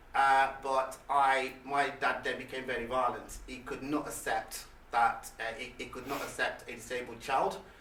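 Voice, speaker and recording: A man's flat, monotone voice at a moderate pace with hardly any pauses, plus noticeable background noise and audible room echo. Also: medium pitch for a man. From England, Leicester, with childhood years in Nigeria. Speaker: motivational speaker. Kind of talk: motivational talk. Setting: stage with audience. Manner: halting.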